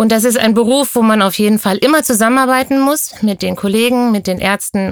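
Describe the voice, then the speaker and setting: A woman's normal speaking voice, fairly high in pitch, with ordinary pitch variation at a moderate pace, in a dry, close sound with no echo. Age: 40s. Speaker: pediatric nurse. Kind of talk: interview. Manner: uses frequent fillers.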